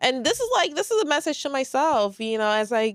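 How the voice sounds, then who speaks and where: In a very clean recording with a silent background, a woman speaks with a New York accent. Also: dry, close sound with no echo. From New York, moved from St. Lucia at 10. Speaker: podcast host. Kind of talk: solo podcast monologue. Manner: calm, quiet.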